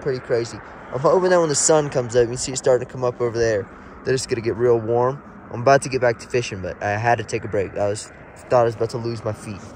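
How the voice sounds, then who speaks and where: Very fast speech cuts through noticeable background noise. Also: man, medium pitch for a man, ordinary pitch variation. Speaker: fishing vlogger. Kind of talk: outdoor vlog commentary. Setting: outdoors by a mountain lake. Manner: halting.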